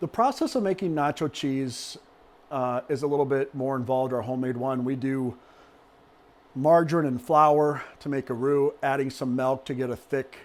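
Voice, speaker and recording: At a moderate pace, someone talks in a plain, everyday voice with fairly even intonation. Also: man, medium pitch for a man. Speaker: cooking channel host. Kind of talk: cooking tutorial. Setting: kitchen with people in the room.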